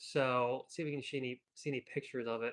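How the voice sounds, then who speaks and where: With an American accent, a man speaks at a moderate pace with ordinary pitch variation. The sound is dry and close, without echo. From Virginia, US. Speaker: surf video creator and live streamer. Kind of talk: live stream commentary. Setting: live stream. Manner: casual, filler-heavy; loud.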